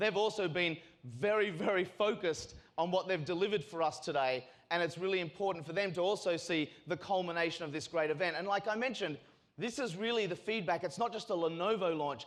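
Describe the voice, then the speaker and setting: A man with an Australian accent talks at a very fast pace. His pitch is high, with ordinary pitch variation. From Australia, North Shore of Sydney. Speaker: sales and marketing executive. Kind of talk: keynote speech. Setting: stage with audience. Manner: casual, filler-heavy.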